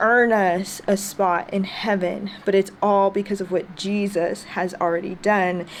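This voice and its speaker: Noticeable background noise sits behind a woman with an American accent and a medium pitch. She talks at a very slow pace in a monotone, flat intonation. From United States. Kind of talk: casual reflective talk to camera.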